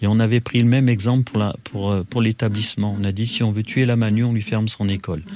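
In a monotone, flat intonation, a man talks fairly quickly. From Loire, France (Roche-la-Molière). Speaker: former arms factory worker and trade unionist. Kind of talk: interview testimony. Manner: halting, with repetitions.

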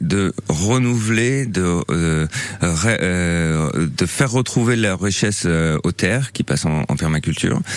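Noticeable background noise surrounds the speaker. A man with a very deep, low pitch talks with lively intonation. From Normandy, rural. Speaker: permaculture gardener. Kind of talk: radio interview. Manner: halting, many hesitations.

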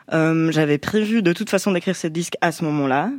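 A woman speaks at a fairly quick pace in an ordinary speaking voice, her pitch fairly low with ordinary variation. The recording is very clean, with a silent background. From French-speaking Switzerland. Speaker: musician. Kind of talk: radio interview. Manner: casual.

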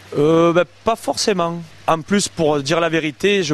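Noticeable background noise sits behind a man speaking with ordinary pitch variation in a dry, close sound with no echo. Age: 30s. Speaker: koi carp breeder and landscaper. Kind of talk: interview. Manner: hesitant, many fillers.

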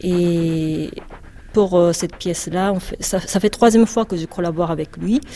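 A woman's very slow speech in a Japanese accent, fairly low in pitch with ordinary pitch variation, over noticeable background noise. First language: Japanese (speaking French). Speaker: composer and butoh dancer. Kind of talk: interview. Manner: halting.

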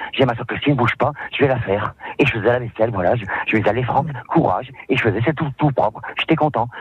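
Very fast male speech at medium pitch, with ordinary pitch variation and noticeable background noise. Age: 50s. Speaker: cleaner. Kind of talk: radio interview. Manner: halting.

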